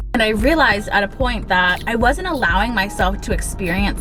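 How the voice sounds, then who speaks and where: A woman speaks at a medium pitch in a room with audible echo, with music playing in the background. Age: 20s. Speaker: lifestyle vlogger. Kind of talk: casual pep talk. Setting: in a car.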